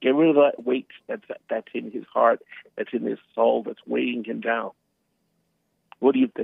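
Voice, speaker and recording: The speaker is a man at a moderate pace. He leaves long, frequent pauses. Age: 60s. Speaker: caller. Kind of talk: call-in radio talk. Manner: halting, many repeated words.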